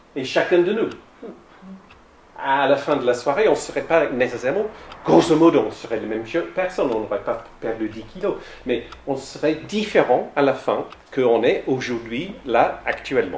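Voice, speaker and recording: A man with an English accent talks at a moderate pace with long, frequent pauses. His fairly high voice shows very wide pitch swings, with audible room echo and noticeable background noise. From south-west England. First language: English (speaking French). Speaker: lay theology speaker. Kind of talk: lecture. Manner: halting.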